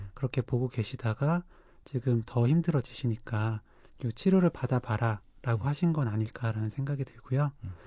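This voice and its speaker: Over a quiet background, a man speaks at medium pitch and a moderate pace, his dark, mellow tone somewhat breathy, with ordinary pitch variation and a dry, close sound with no echo. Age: young. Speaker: psychiatrist podcast co-host. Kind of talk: casual chat.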